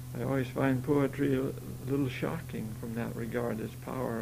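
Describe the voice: The text is read aloud plainly, with intonation that stays fairly even.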